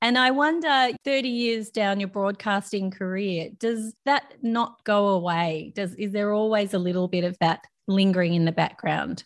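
Speaking at a moderate pace with an Australian accent, a woman barely pauses, her pitch varying in an ordinary way over a very clean recording with a silent background. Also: medium pitch for a woman. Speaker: podcast host and therapist. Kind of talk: interview conversation.

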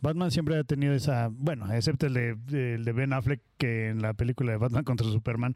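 A man speaks with a normal speaking voice, medium pitch and fairly even intonation at a fairly quick pace. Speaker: podcast host. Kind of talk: casual chat.

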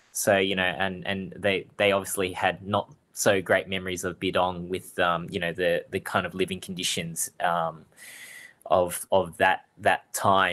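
This man has a very deep, low pitch and an Australian accent. His tone is bright and sharp, with monotone, flat intonation. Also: very clean recording, silent background. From Australia, Melbourne (Springvale). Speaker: fruiterer and cooking show contestant. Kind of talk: interview.

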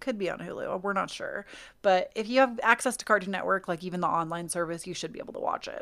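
A woman with an American accent at a very fast pace, on a very clean recording with a silent background. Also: big swings in loudness. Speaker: podcast co-host. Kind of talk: casual chat.

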